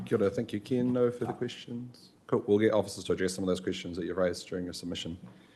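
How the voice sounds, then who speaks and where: With a New Zealand accent, a man with a dark, mellow tone races along at a very fast pace, hardly pausing and using ordinary pitch variation. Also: fairly low pitch for a man. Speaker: committee chair. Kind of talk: chairing a council meeting.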